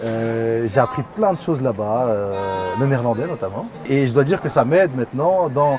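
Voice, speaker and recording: Music plays in the background. A man with a medium pitch speaks at a moderate pace with lively intonation. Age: 30s. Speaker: artistic director of a cultural centre. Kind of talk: interview. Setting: studio with cameras.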